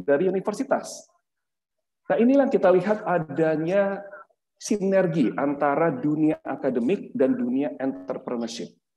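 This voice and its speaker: Very wide pitch swings at a fairly slow pace. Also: man. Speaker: lecturer and startup co-founder; lecturer. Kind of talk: webinar talk. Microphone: webcam.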